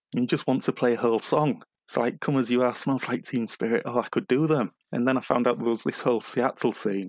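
A man with a northern English accent speaks at a medium pitch and a very fast pace, with ordinary pitch variation. The recording is very clean, with a silent background and a dry, close sound with no echo. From northern England. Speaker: music fan podcast guest. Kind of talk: casual chat.

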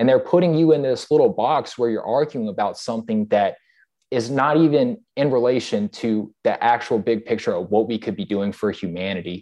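With an American accent, a man with an unremarkable speaking voice talks at a fairly quick pace and medium pitch, his intonation lively. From US South. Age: 20s. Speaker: podcast host, military veteran. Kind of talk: casual interview chat.

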